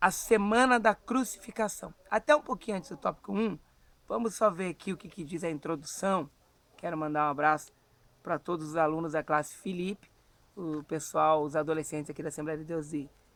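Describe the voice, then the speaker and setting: The speaker moves at a fairly quick pace with ordinary pitch variation and big swings in loudness. The recording is very clean, with a silent background. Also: man, high pitch for a man. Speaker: evangelist and Bible school teacher. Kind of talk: Bible lesson; casual chat. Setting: outdoors at a country farm.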